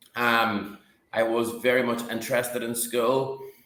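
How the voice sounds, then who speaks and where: This man talks in a flat monotone at a medium pitch, with an Irish accent. His tone is bright and sharp, and room echo is audible. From northwest Ireland. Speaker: company CEO. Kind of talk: interview. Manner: halting.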